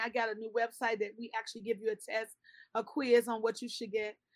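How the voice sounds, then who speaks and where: The speaker is a woman. She talks at a high pitch. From Chicago. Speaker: pedicurist and skincare entrepreneur. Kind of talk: interview.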